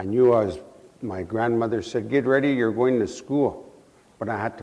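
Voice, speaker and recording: At a fairly quick pace, a man speaks at a medium pitch in a dark, mellow tone. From Saskatchewan, Canada. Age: 60s. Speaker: residential school survivor speaker. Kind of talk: testimony. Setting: museum event with student audience.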